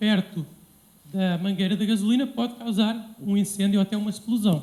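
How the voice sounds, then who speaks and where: The voice has a dark, mellow tone and speaks with a European Portuguese accent. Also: man. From Portugal. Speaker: civil engineer. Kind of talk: lecture. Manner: halting, many fillers.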